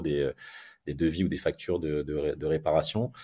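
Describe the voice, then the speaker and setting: On a very clean recording with a silent background, a man's voice has a dark, mellow tone. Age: 40s. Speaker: concierge company founder. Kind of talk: interview. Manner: hesitant, repeats words.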